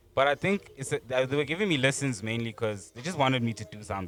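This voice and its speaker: With ordinary pitch variation, a man races along at a very fast tempo. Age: 20s. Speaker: rapper. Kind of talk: casual chat.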